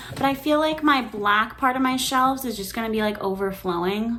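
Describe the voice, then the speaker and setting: A woman talks with lively intonation. Noticeable background noise and audible room echo surround her voice. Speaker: booktuber. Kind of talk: casual vlog book haul. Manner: fast; animated.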